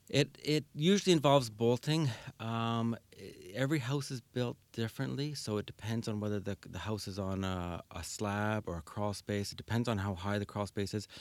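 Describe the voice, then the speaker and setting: A man with a Canadian Prairie accent and a medium pitch speaks at a moderate pace with ordinary pitch variation, on a very clean recording with a silent background. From Winnipeg, Manitoba, Canada. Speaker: seismic home retrofit business owner. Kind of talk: radio interview. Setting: radio studio.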